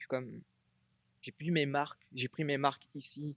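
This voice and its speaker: A man talks in a fairly high pitch. His intonation is monotone and flat. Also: dry, close sound with no echo. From Réunion. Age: 30s. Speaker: Thai boxing athlete and coach. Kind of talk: interview. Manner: halting.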